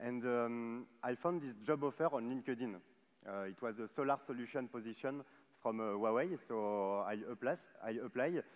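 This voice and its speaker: Moderate in pace, a man talks at medium pitch with ordinary pitch variation. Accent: French. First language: French. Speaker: solar solutions manager at tech company. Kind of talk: panel discussion on stage. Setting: stage at live event. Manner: hesitant, many fillers.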